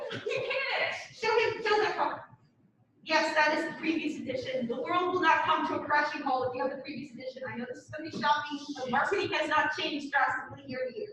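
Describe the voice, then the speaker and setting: Her voice raised and projected, a woman with an American accent speaks very fast at a high pitch with lively intonation and big swings in loudness, with audible room echo. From US East Coast. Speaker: university professor. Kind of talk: lecture. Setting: classroom.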